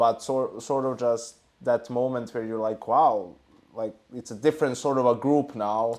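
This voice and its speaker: With a non-native accent, a man talks at a moderate pace in a medium pitch and fairly even intonation. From Serbia. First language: not English. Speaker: esports analyst. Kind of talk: casual chat.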